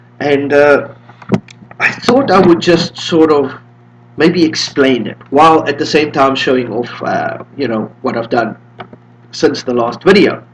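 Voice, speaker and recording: Over noticeable background noise, a man with a fairly high pitch talks at a fairly slow pace, with ordinary pitch variation and long, frequent pauses. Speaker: Linux distro developer. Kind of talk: tutorial. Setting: home room with windows open. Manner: casual.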